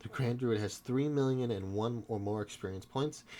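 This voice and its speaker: Medium in pitch, a man speaks at a fairly quick pace with ordinary pitch variation. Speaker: tabletop game reviewer. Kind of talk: casual book look-through to camera. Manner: halting, stumbles over words.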